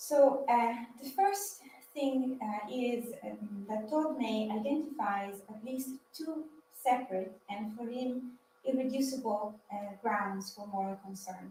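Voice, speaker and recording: A woman in an Italian accent, fairly high in pitch yet dark and mellow in tone, at a very slow pace, with ordinary pitch variation, big swings in loudness, and audible room echo. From Italy. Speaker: PhD student speaker. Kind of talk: lecture. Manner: halting.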